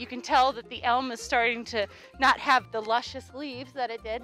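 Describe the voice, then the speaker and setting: The sound is dry, with no echo and faint music behind it. The intonation stays fairly even. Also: woman. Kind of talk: casual educational commentary. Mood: warm, cheerful. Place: open country.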